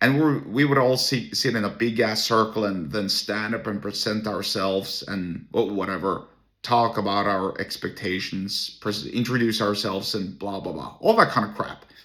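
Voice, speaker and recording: On a very clean recording with a silent background, a man with a Norwegian accent speaks at a moderate pace with hardly any pauses, a fairly low pitch, ordinary pitch variation and a bright, sharp tone. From Norway. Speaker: entrepreneur and solo podcaster. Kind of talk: casual monologue. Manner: halting, with many restarts.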